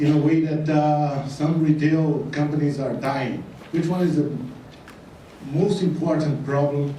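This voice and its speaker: Noticeable background noise and audible room echo surround a man with a non-native accent, who speaks fairly slowly at a fairly high pitch in a monotone, flat intonation. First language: Portuguese. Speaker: retail consultant. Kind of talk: conference talk. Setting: stage with audience.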